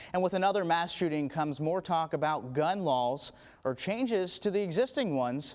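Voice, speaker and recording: Fairly quick, a man speaks in an ordinary speaking voice. His intonation is lively. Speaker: television news anchor. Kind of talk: TV news anchor delivery.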